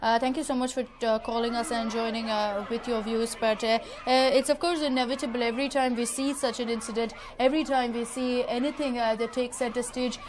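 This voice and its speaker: A woman's high-pitched, monotone, flat voice with an Indian accent at a fairly quick pace, over noticeable background noise. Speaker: TV news anchor. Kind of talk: live news phone-in discussion.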